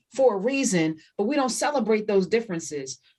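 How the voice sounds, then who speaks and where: Loud and animated, a woman with an American accent talks at a fairly quick pace, her pitch swinging very widely. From US Northeast, New Jersey. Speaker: radio host. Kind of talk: interview conversation.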